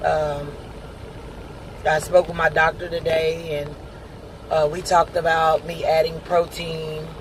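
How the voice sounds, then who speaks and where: Words come at a fairly slow pace against noticeable background noise. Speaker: video blogger and truck driver. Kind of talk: casual video diary update. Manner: hesitant, many filler words.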